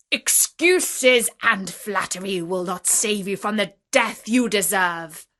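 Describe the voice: Plain reading aloud with ordinary pitch variation plays against a quiet background.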